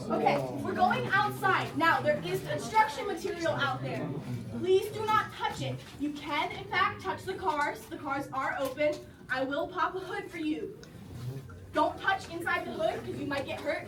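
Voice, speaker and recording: There is noticeable background noise and audible room echo. A woman talks at a moderate pace in a high pitch with lively intonation. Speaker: campus tour guide. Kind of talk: guided campus tour. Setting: outdoors.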